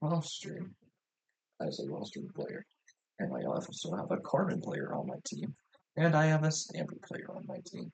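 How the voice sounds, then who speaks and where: A soft-spoken man talks at a fairly slow pace. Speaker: competitive video game coach and analyst. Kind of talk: tutorial. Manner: soft, ASMR-like quiet speaking; casual, loose with fillers.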